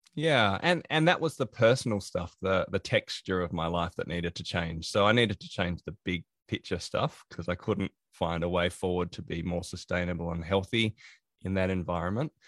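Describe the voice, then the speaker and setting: A man's very deep, low voice with ordinary pitch variation at a moderate pace, in a very clean recording with a silent background and a dry, close sound with no echo. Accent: Australian. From Australia. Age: 40s. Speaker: productivity consultant and author. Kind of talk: interview.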